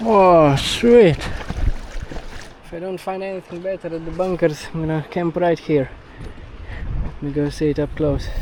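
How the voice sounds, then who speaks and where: A high-pitched man at a moderate pace with ordinary pitch variation, big swings in loudness, and long, frequent pauses amid noticeable background noise. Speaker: outdoor adventure vlogger. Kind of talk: vlog narration. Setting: outdoors, kayaking at sea. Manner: casual, jokey.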